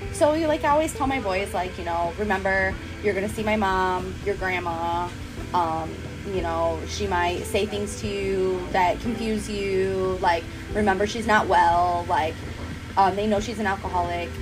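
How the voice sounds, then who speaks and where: A woman talks at a moderate pace with music in the background. The room echo is audible. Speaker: fitness instructor. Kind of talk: casual chat. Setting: cafe.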